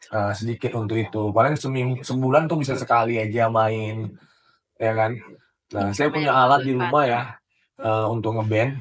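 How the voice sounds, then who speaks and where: Medium-pitched male speech, its intonation fairly even. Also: moderate pace. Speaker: university lecturer. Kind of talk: casual interview.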